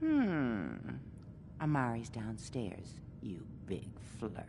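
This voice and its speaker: The voice is low and put on as a character, delivered at a very slow pace. Background noise is clearly audible. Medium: video game.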